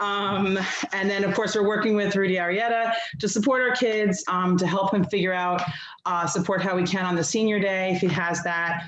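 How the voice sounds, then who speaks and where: Audible room echo surrounds a woman whose pitch moves with ordinary variation. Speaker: PTSA representative. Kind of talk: public meeting report. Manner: fast; halting, many fillers.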